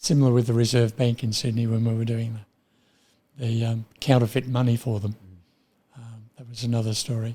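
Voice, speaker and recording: A man with an Australian accent speaks fast but with long, frequent pauses, his medium-pitched voice dark, mellow and somewhat breathy. His intonation is monotone and flat, his loudness swings widely, and the recording is very clean with a silent background. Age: 80s+. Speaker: retired printer. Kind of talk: interview answer.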